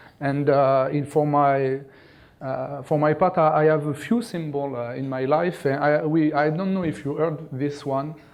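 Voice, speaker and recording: A man with a French accent, fairly high in pitch, with fairly even intonation at a moderate pace amid audible room echo. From France. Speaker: conference speaker, cloud infrastructure executive. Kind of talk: conference talk. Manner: halting, many fillers and repetitions.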